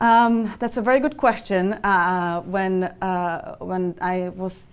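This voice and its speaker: A woman's medium-pitched voice with a Czech accent, in a very clean recording over a silent background. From Czech Republic. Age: 30s. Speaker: finance executive. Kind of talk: interview. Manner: halting, many fillers.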